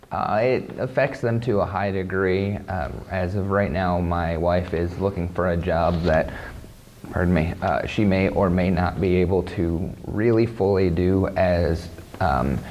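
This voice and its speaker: A man's very deep, low voice with a Midwestern US accent, fairly slow, with ordinary pitch variation, audible room echo and noticeable background noise. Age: 30s. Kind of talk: interview testimony. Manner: halting, repeats words.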